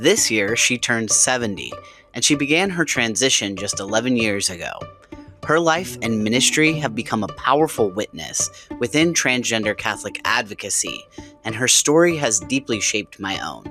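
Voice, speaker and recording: At a moderate speed, the speaker talks with music in the background. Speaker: podcast host. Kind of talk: podcast intro.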